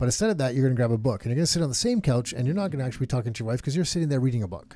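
A man's medium-pitched, dark, mellow voice at a very fast pace, with lively intonation, on a very clean recording against a silent background. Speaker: real estate podcast co-host. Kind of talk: casual chat.

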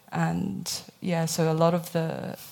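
This woman speaks with a British accent. Her pitch is fairly low. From Hong Kong. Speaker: startup founder. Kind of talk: panel discussion.

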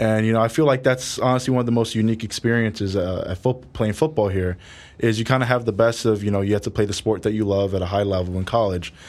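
With a New York accent, the speaker goes at a very fast pace with fairly even intonation. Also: man, fairly low pitch for a man. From New York City, Harlem. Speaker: college football player. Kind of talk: interview.

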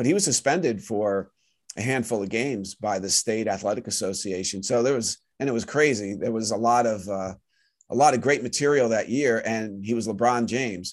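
A normal speaking voice at a fairly quick pace, with ordinary pitch variation and a quiet background. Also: man, medium pitch for a man. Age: 50s. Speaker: sports writer and author. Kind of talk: interview.

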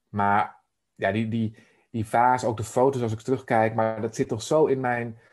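A man speaks in a flat monotone. The background is quiet. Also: medium pitch for a man, moderate pace. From Netherlands, Emmeloord (Noordoostpolder). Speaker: life coach. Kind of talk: interview conversation. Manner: halting, many fillers.

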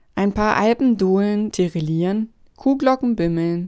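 The woman's pitch is medium. She speaks at a very slow pace. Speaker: radio satire narrator. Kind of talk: dramatic satirical narration, storybook-style. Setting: radio broadcast. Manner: sardonic, theatrical, building from dry irony to hushed pathos.

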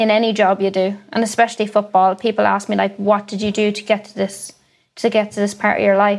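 In an Ulster accent, a woman talks at a fairly quick pace with a fairly high pitch and monotone, flat intonation. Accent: Irish (Cavan). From Ireland, County Cavan. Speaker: professional footballer. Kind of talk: interview.

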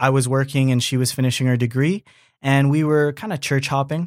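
A man with an unremarkable speaking voice talks at a medium pitch, keeping his intonation fairly even. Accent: Canadian. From Canada. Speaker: church member. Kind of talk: casual interview.

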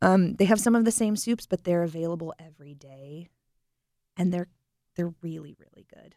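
A woman with an American accent and a fairly low pitch, dark, mellow tone, ordinary pitch variation, moderate pace and long, frequent pauses, in a dry, close sound with no echo. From North Carolina coast (Beaufort). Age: 20s. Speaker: chef. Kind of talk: interview.

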